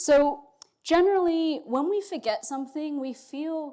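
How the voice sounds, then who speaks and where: On a very clean recording with a silent background, a woman speaks high and fairly slowly. Her tone is dark and mellow, and her intonation is lively. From Australia and England. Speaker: philosophy professor. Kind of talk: lecture. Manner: casual, with fillers.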